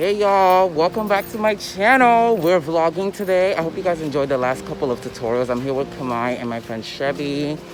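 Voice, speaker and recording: A man's fairly high voice with very wide pitch swings, at a fairly quick pace with hardly any pauses, over noticeable background noise. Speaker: beauty vlogger. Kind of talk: casual vlog. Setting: outdoors, walking to train. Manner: loud, clear.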